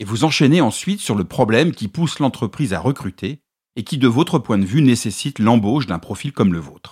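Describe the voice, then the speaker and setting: A somewhat breathy voice at a fairly quick pace with very wide pitch swings, in a dry, close sound with no echo and a very clean recording with a silent background. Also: man, medium pitch for a man. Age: 50s. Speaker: podcast host and communication consultant. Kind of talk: solo podcast monologue giving advice. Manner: clear, structured delivery.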